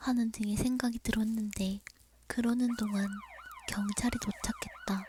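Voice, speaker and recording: Speaking at a fairly slow pace, a woman uses a fairly high pitch and a dark, mellow tone that is somewhat breathy. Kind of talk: horror story narration, ASMR bedtime. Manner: soft, intimate, friendly.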